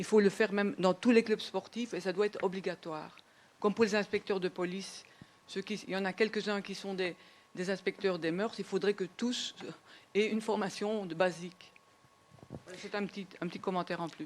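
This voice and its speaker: The speech moves at a moderate pace, with long, frequent pauses. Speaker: audience member. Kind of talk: audience comment in panel discussion.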